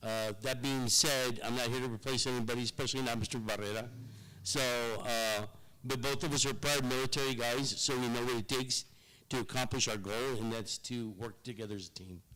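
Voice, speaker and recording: With a south Texas accent, a man speaks at a medium pitch in a bright, sharp tone. His pace is fairly quick and his intonation fairly even. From Rio Grande Valley, south Texas. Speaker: marketing consultant. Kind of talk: public presentation. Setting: public meeting in a museum.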